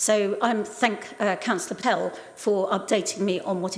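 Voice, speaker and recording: Audible room echo surrounds a woman speaking in a flat, monotone way. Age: 70s. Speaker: local councillor. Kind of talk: council debate speech.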